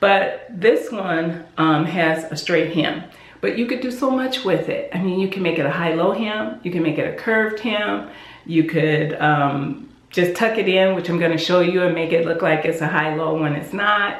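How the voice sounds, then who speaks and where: Over noticeable background noise and audible room echo, a woman talks at a moderate pace in a fairly low pitch with lively intonation. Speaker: sewing YouTuber. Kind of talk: casual tutorial talk. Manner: animated.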